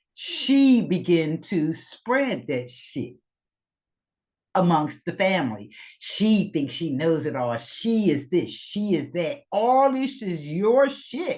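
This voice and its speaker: A woman's medium-pitched voice with vocal fry, very slow, with very wide pitch swings. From US Northeast, Philadelphia. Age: 60s. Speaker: trauma therapist and recovery group leader. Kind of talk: candid monologue in recovery meeting. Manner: emphatic, casual with frequent swearing.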